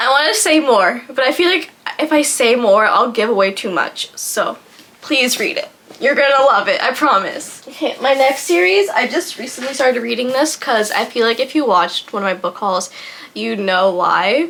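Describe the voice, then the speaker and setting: Noticeable background noise sits behind a woman speaking at a moderate pace. Her voice is high-pitched, with lively intonation. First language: French. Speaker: booktuber. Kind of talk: casual vlog book recommendations. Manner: hesitant, filler-heavy.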